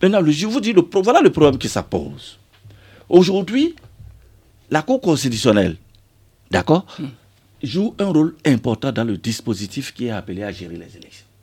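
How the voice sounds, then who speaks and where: On a very clean recording with a silent background, a man with a dark, mellow tone and vocal fry talks at a moderate pace, his pitch swinging very widely between long, frequent pauses. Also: fairly high pitch for a man. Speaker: member of parliament. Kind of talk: radio interview. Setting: radio studio.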